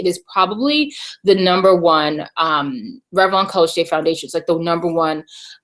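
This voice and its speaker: An ordinary speaking voice. The pace is moderate. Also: woman. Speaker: beauty and video marketing vlogger. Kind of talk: live webinar tutorial. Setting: live online broadcast from home. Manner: casual, many fillers.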